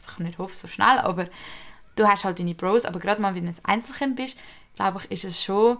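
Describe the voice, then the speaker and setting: Vocal fry runs through a woman's speech, along with ordinary pitch variation. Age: young. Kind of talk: casual chat.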